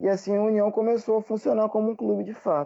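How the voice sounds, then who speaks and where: A man's voice has a dark, mellow tone, and the background is quiet. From Rio de Janeiro state interior, Brazil. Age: 20s. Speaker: English teacher and history graduate. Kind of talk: casual interview.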